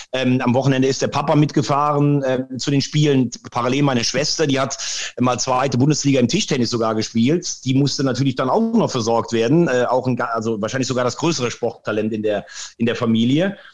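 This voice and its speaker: A man's medium-pitched voice at a fairly quick pace, with very even loudness and ordinary pitch variation. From Rhineland-Palatinate, near Andernach. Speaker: sports presenter. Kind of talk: interview. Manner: animated.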